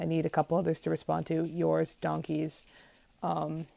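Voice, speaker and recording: Quiet and fairly low-pitched, a woman speaks in a dark, mellow tone. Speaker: vlogger. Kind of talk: casual video diary.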